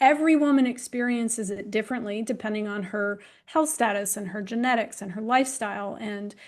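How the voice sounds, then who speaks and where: With an ordinary speaking voice, a woman talks at a moderate pace using ordinary pitch variation. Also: quiet background. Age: 60s. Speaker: women's health expert. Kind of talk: panel discussion.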